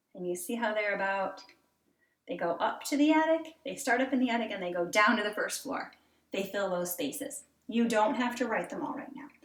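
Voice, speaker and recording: Audible room echo follows a voice with lively intonation moving at a fairly quick pace. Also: woman, fairly high pitch for a woman. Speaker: elementary school teacher. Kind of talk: tutorial for young children. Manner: animated.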